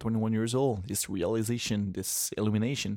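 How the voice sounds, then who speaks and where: Talking at a fairly quick pace with fairly even intonation, a man with a French accent sounds dry and close with no echo, on a very clean recording with a silent background. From Quebec City, Canada. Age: 20s. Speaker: solo vlogger. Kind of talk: casual solo monologue, rambling about himself. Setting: sitting on the floor in the dark, home recording. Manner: halting, hesitant, with filler words; reflective, laughs often.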